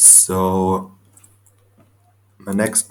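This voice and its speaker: His pitch sits fairly low. This man talks with a non-native accent. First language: not English. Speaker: Pokemon draft league coach. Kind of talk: casual commentary video.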